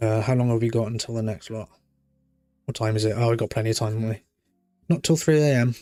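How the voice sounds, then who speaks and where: With a British accent, a man speaks very fast at medium pitch with fairly even intonation and long, frequent pauses, with music in the background. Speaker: live streamer. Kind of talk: live stream chat with viewers. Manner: calm.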